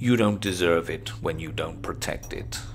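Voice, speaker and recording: A man does a put-on character voice, very deep and low in pitch. He keeps a moderate pace over clear background noise. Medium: read story. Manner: curt, unimpressed.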